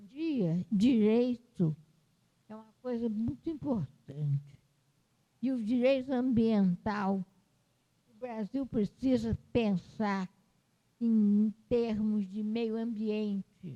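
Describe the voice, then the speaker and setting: A woman's fairly high, somewhat breathy voice with a dark, mellow tone, very slow and full of long, frequent pauses, big swings in loudness and ordinary pitch variation, with a dry, close sound and no echo. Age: 80s+. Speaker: retired history professor and author. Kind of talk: interview at book launch. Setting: university library event. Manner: halting.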